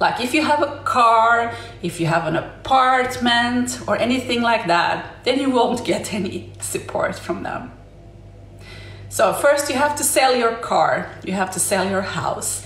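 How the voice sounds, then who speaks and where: Lively intonation in a Swedish accent at a fairly slow pace, with audible room echo and noticeable background noise. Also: woman, fairly high pitch for a woman. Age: 40s. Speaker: livestreamer. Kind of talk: casual live stream monologue. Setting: live stream. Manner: halting.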